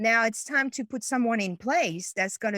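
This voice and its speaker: With a French accent and lively intonation, a woman speaks at a moderate pace in a very clean recording with a silent background and a dry, close sound with no echo. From France. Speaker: business coach. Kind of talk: interview. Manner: halting.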